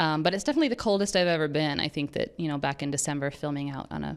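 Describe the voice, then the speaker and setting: The speaker has an American accent. The intonation is fairly even. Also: woman. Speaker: actress. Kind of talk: interview. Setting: on set. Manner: halting, many fillers and restarts.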